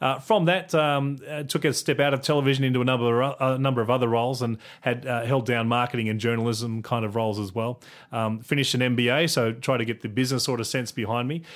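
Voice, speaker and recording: The speaker talks very fast with an Australian accent. The intonation stays fairly even. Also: man, medium pitch for a man. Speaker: communications director. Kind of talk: interview. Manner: halting, filler words.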